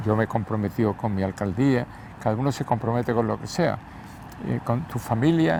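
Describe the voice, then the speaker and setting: Noticeable background noise sits behind a man speaking at a medium pitch and moderate pace with ordinary pitch variation. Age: 80s+. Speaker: former mayor and journalist. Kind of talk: interview. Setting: outdoors, walking through the city.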